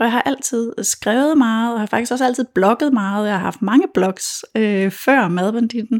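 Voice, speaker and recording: In a dry, close recording with no echo, a woman with an unremarkable speaking voice talks at a fairly slow pace, her fairly high pitch showing ordinary variation. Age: 40s. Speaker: food blogger and cookbook author. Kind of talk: interview.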